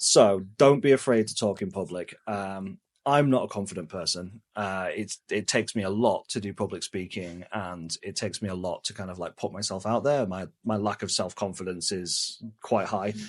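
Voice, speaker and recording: An English accent comes through in the speech. All around it, the background stays quiet. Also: man, fairly low pitch for a man, ordinary pitch variation, moderate pace, hardly any pauses. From England. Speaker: travel vlogger. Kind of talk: casual chat. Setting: indoors at home, talking head at computer.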